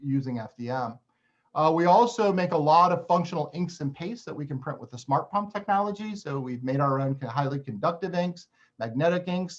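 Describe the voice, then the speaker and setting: A man with a fairly high voice talks at a fairly quick pace, his intonation lively and his loudness swinging widely. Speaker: university researcher in printed electronics. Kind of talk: technical webinar presentation. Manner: fast.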